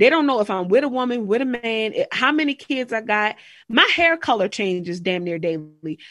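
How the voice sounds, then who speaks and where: A woman with a fairly high pitch, lively intonation and a moderate pace. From Maryland, Harford County. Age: 20s. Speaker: spiritual wellness podcaster. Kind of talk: casual interview chat.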